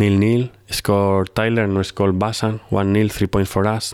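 A man with a Spanish accent speaks at a fairly slow pace and a fairly low pitch. His intonation is monotone and flat on a very clean recording with a silent background. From Spain, Madrid. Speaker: football sporting director. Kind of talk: interview.

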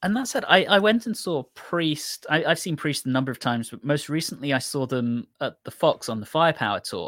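A man with an English accent talks at a fairly quick pace, his pitch fairly high and his intonation lively. The recording is very clean, with a silent background. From England. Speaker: podcast co-host. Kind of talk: casual chat.

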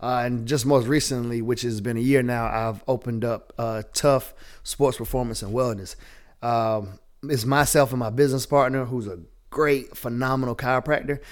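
On a very clean recording with a silent background, a man with a Southern US accent and medium pitch speaks at a moderate pace with fairly even intonation. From Southwest Georgia, US South. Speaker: entrepreneur and bodybuilder. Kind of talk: casual chat.

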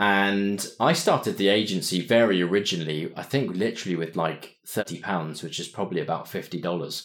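A man with a southern English accent speaks at a fairly low pitch and a fairly quick pace. He leaves hardly any pauses, and the recording is very clean with a silent background. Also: ordinary pitch variation. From southern England (Winchester). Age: 30s. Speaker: entrepreneur. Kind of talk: interview.

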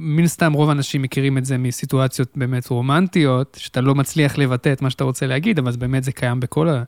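Over a very clean recording with a silent background and a dry, close sound with no echo, a man speaks at a very fast pace with fairly even intonation. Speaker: podcast host. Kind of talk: interview. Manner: formal host voice.

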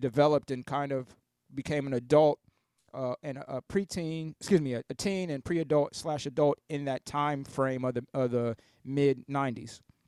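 With an American accent and an unremarkable speaking voice, a man talks at a moderate pace, pitched fairly high with fairly even intonation, in a dry, close sound with no echo. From Columbus, Ohio, US Midwest. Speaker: DJ. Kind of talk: interview conversation.

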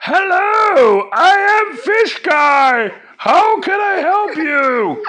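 At a very slow pace, a put-on character voice speaks at an extremely high pitch. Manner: funny, silly.

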